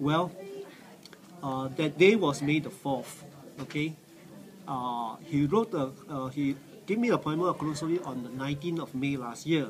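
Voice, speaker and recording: A man with a fairly high voice speaks at a moderate pace with ordinary pitch variation, taking long, frequent pauses over noticeable background noise. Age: 60s. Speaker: cancer survivor. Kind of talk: testimony. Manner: halting, many fillers.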